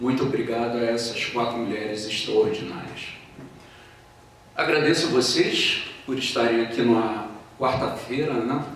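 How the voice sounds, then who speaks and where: Amid audible room echo and noticeable background noise, a man with a Rio de Janeiro accent speaks at a fairly slow pace with fairly even intonation. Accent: carioca, hissing sibilants. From Rio de Janeiro, Brazil. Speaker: philosophy professor. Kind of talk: lecture.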